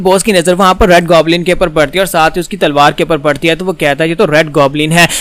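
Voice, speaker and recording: Noticeable background noise surrounds a man speaking with a high pitch. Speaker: comic explainer. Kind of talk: comic recap narration. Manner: casual, chatty.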